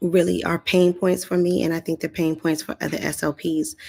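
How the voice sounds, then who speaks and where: Quiet speech in a dark, mellow tone, monotone and flat, at a moderate pace. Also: woman. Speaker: speech-language pathologist. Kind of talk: live stream talk. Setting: live session in a community area. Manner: low voice, kept quiet; hesitant, many fillers.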